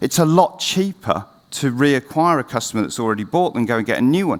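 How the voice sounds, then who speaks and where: A man speaks with lively intonation. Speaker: CEO giving a conference talk; conference presenter. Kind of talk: conference presentation. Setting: stage with audience. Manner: speeding up. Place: stage.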